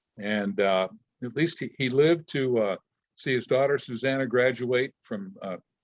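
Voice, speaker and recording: The speaker has a plain, everyday voice. The pace is moderate, with ordinary pitch variation. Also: man, medium pitch for a man. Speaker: retired disc jockey. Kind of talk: interview answer. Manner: casual, conversational.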